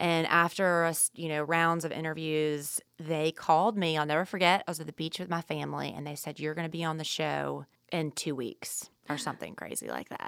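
With an American accent, a woman speaks at a fairly quick pace in a very deep, low pitch, using monotone, flat intonation and hardly any pauses, on a very clean recording with a silent background. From US South. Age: 30s. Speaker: chef and restaurant owner. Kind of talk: casual interview.

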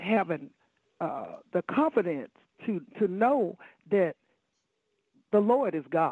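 In an American accent, a woman speaks at a very slow pace. Her pitch sits in the medium range. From Chicago, Illinois. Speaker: pastor. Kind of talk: preaching in a talk show.

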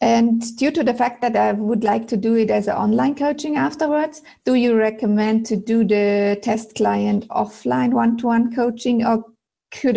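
In a German accent, the speaker talks at a moderate pace with a dark, mellow tone, very even loudness and ordinary pitch variation on a very clean recording with a silent background. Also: woman. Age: 40s. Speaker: aspiring personal style coach. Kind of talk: coaching call.

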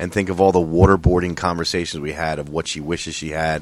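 This man's voice is very deep and low in pitch, delivered in a flat monotone. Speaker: podcast co-host. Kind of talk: casual banter, comedic chat. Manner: joking, irreverent.

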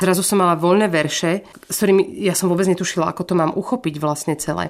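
With an ordinary speaking voice, a woman talks at a fairly quick pace, her pitch fairly low and her pitch variation ordinary. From Slovakia. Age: 40s. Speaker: singer. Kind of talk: casual chat.

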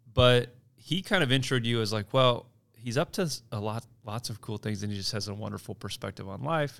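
With a very clean recording and silent background, a man speaks at a medium pitch with ordinary variation, in an ordinary speaking voice. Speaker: podcast host. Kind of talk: casual chat.

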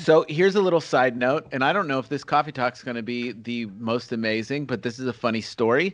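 Here a man has a normal speaking voice at a medium pitch with ordinary pitch variation. He talks at a fairly quick pace with hardly any pauses. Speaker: podcast host. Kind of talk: casual chat. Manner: laughing, playful.

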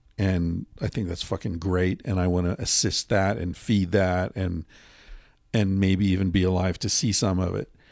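Very clean recording, silent background: a man with a very deep, low pitch, fairly even intonation and a moderate pace. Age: 50s. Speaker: author and podcast host. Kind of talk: casual chat. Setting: hotel room.

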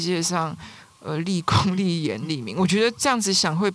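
A woman with an ordinary speaking voice, medium pitch, and a moderate pace. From Taiwan, Taipei. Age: middle-aged. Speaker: writer. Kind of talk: casual interview chat.

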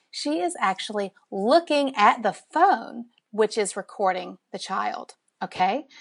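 A woman with a Southern US accent speaks at a fairly slow pace, her pitch swinging very widely. The sound is dry and close with no echo, over a quiet background. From Alabama, US South. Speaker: parenting researcher and social media educator. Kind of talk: casual interview chat.

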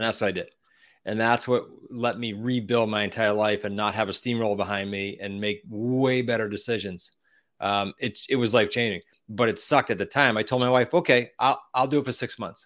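A man with a Boston accent at a fairly quick pace, on a very clean recording with a silent background. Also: medium pitch for a man. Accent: Boston-area New England. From Massachusetts, US. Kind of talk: interview, casual chat.

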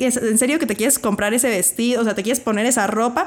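A woman with a high pitch is heard on a very clean recording with a silent background. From Mexico City. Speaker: podcast host and teacher. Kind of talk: casual interview.

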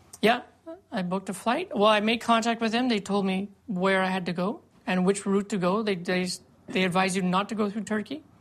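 Moderate pace and fairly even intonation from a woman at medium pitch. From Canada. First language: English (speaking French). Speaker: former volunteer fighter against ISIS. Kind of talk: interview.

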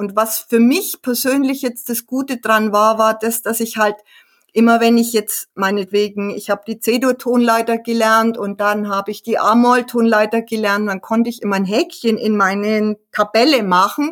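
A woman's normal speaking voice, fairly high-pitched and fairly even in intonation, at a moderate pace. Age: 60s. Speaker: hobby pianist and author. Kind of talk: casual interview.

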